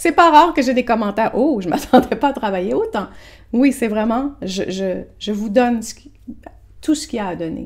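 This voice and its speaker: Lively intonation marks this woman's fairly high voice, delivered at a moderate pace. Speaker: therapist selling an online program. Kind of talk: informal program presentation to camera. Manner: casual, with frequent self-corrections and repetitions.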